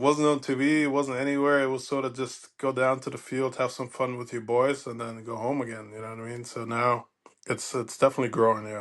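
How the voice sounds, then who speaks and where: With a German accent, a man speaks at a fairly quick pace and medium pitch in a monotone, flat intonation. His loudness swings widely, and the background is quiet. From Germany. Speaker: former pro baseball player. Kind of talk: casual interview chat.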